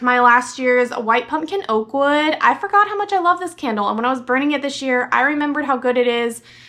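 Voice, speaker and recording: Raising and projecting her high voice, a woman speaks at a fairly quick pace with hardly any pauses and ordinary pitch variation. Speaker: beauty and fragrance vlogger. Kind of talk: product review vlog. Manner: animated.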